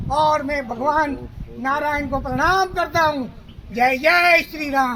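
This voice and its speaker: A man speaks in a raised, projected voice at an extremely high pitch. His intonation stays fairly even. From Rajasthan, Jalore district. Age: 60s. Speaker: pilgrim cyclist. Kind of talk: street interview.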